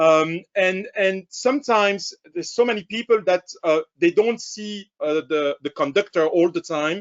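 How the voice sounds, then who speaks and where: A man speaks at a fairly slow pace with hardly any pauses. His voice is high in pitch, with ordinary pitch variation. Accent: French. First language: French. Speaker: camera company sales director. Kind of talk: webinar product presentation. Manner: halting, many fillers.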